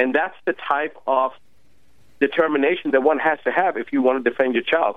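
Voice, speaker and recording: With an unremarkable speaking voice, the man talks fairly quickly at a fairly high pitch, his pitch varying in an ordinary way. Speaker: doctor. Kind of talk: casual chat.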